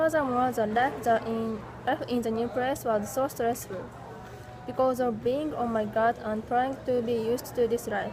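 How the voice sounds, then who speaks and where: Fairly even intonation in a Japanese accent, with noticeable background noise. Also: woman, high pitch for a woman, moderate pace. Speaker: English language student. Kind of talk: class presentation. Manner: halting.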